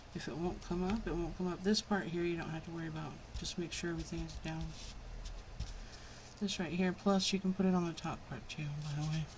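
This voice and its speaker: A soft-spoken woman talks at a fairly quick pace with a fairly low voice. Audible echo fills the room. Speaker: crafting youtuber. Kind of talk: tutorial. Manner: casual.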